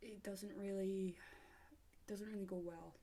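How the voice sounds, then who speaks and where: A woman's medium-pitched voice with a British accent, dark, mellow tone and monotone, flat intonation. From Britain. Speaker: vlogger. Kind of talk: opinion vlog monologue. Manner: hesitant, many fillers.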